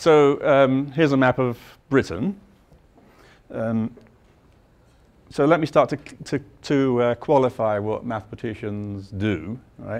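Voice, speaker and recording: A man with a London accent speaks at a fairly slow pace, pausing long and often. His pitch is medium, with ordinary variation. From London, England. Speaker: mathematics professor. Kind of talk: lecture.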